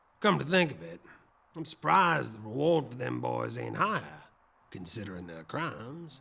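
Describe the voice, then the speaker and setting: At a moderate pace, a man uses a put-on character voice that is gruff and raspy, at a medium pitch. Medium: audio drama. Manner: gruff, blunt, dry.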